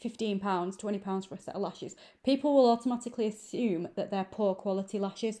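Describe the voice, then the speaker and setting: A woman's dark, mellow voice in a northern English accent, medium in pitch, at a moderate pace with fairly even intonation. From northern England, Manchester. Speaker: lash extension trainer. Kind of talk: tutorial. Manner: casual, conversational with fillers.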